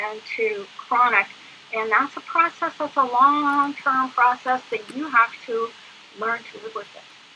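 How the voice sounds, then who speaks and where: Over music in the background, a woman speaks at a high pitch and fairly slow pace, with ordinary pitch variation. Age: 60s. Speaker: guest speaking about living with PTSD. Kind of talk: interview. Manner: halting, many fillers.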